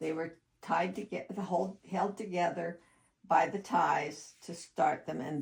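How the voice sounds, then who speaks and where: Her pitch is fairly low for a woman. The voice is somewhat breathy. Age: 80s+. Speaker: sewing and art teacher. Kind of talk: sewing tutorial narration.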